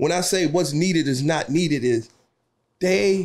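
Keeping a moderate pace, this man's pitch shifts in an ordinary way. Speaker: guest, cigar-loving friend of host. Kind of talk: casual conversational interview. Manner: animated, humorous. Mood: earnest, animated. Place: studio. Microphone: studio mic.

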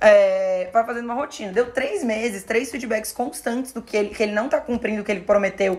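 An animated tone carries ordinary pitch variation at a moderate pace. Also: woman. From Florianópolis, southern Brazil; Santa Catarina, Brazil. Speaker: podcast host and influencer-management teacher; podcast host. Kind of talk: casual chat. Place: studio.

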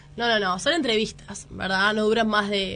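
With an ordinary speaking voice, a woman of medium pitch moves at a fairly quick pace in fairly even intonation. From Uruguay, Montevideo. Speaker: journalist and documentary maker. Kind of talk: radio interview.

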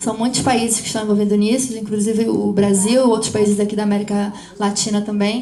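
Over noticeable background noise, a woman rattles along at a very fast pace in a monotone, flat intonation. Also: medium pitch for a woman. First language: Portuguese. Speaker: interpreter and panel moderator. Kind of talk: live interpretation. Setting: stage with audience.

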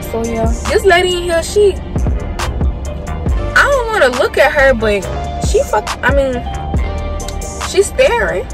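Clear music plays in the background as a woman speaks at a moderate pace. Her voice is dry, with no echo. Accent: American. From South Carolina. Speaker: college student. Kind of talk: casual mukbang talk to camera. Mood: relaxed, chatty storytelling. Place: car. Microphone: phone near.

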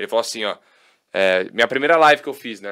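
A man's medium-pitched, very fast speech over a quiet background. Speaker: sports TV commentator. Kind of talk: casual chat. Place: studio. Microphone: studio mic.

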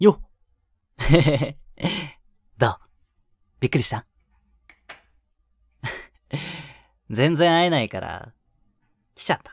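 A man puts on a character voice, fairly high for a man, with big pitch swings, vocal fry, a slightly husky edge, a very slow pace and long, frequent pauses. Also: dry, close sound with no echo.

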